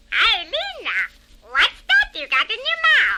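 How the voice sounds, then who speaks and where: A squeaky, put-on character voice at an extremely high pitch, with very wide pitch swings and a fairly slow pace. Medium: audio drama. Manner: breezy, slangy.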